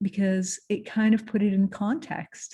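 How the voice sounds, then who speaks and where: A woman speaks in a dark, mellow tone that is somewhat breathy. The background is quiet. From Lebanon. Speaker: entrepreneur and creative director. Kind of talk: motivational talk. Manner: halting, with fillers and restarts.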